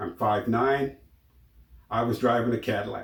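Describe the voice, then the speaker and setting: Speaking with an American accent, a man has a somewhat breathy voice at medium pitch and a moderate pace. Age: 60s. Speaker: YouTuber sharing personal stories. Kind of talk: personal testimony monologue.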